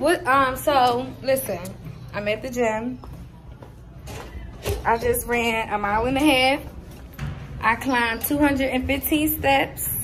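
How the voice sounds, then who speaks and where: Over music in the background, a woman speaks very slowly at a high pitch with fairly even intonation. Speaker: student vlogger. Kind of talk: casual vlog chat. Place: gym. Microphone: phone near.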